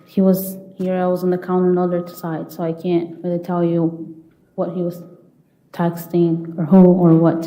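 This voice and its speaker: A woman with a non-native accent speaks at a moderate pace in a fairly low pitch, her intonation monotone and flat. Audible room echo surrounds her voice. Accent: foreign. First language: not English. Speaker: trial witness. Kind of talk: courtroom testimony. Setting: courtroom.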